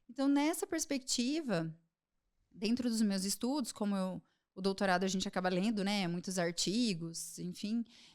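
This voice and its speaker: A woman talks at a moderate pace with lively intonation. The recording is very clean, with a silent background. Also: medium pitch for a woman. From Brazil, Londrina, Paraná. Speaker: psychiatrist. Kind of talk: podcast interview.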